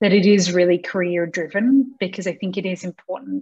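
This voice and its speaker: Against a quiet background, a woman with an Australian accent talks at a moderate pace, somewhat breathy, with fairly even intonation. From Australia, Sydney. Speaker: non-profit CEO and founder. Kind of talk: interview. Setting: video call. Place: home room. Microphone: video call.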